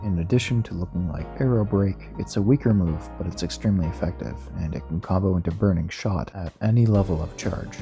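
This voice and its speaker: The voice has a lively, bouncing intonation at a fairly quick pace. Music plays in the background. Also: man. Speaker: game modder. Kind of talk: video game mod commentary narration.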